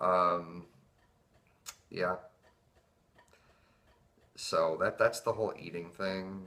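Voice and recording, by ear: At a very slow pace, the speaker sounds nervous, with a bright, sharp tone and fairly even intonation. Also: man, low pitch for a man.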